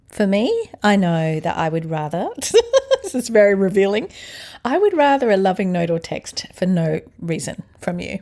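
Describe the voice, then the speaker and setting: A woman with an Australian accent speaks at a moderate pace and medium pitch. Her tone is dark and mellow, with lively intonation. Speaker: podcast host. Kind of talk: casual chat with husband.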